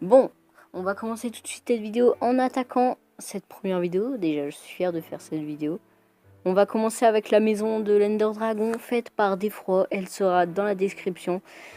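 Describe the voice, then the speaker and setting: A woman speaks at a medium pitch with ordinary pitch variation and big swings in loudness. Music plays in the background, and the sound is dry and close with no echo. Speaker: Minecraft tutorial youtuber. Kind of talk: tutorial. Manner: fast, sped-up video; hesitant, many fillers.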